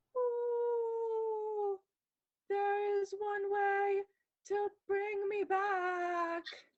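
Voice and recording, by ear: In a squeaky, put-on character voice at an extremely high pitch, the speaker goes at a very slow pace with long, frequent pauses.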